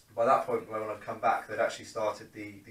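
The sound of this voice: There is audible room echo as a man talks at a fairly quick pace. His voice is fairly low in pitch with a fairly bright tone.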